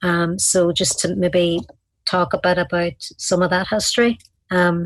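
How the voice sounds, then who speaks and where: This woman has a Donegal accent and a fairly low pitch, with fairly even intonation. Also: fairly slow pace, very even loudness. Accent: Donegal Irish. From Ireland, County Donegal. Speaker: community activist. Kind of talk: interview. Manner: hesitant, many fillers.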